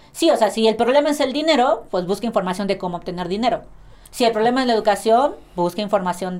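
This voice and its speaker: This woman speaks at a very fast pace. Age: 20s. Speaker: athlete. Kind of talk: casual chat.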